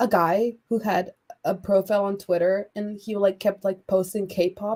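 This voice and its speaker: Monotone, flat intonation at a fairly slow pace. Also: woman, medium pitch for a woman. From Croatia. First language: Croatian. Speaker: artist. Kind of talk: casual chat.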